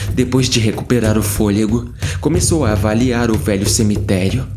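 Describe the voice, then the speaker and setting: With noticeable background noise behind him, a man talks at a moderate pace in a fairly low voice with ordinary pitch variation. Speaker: horror story narrator.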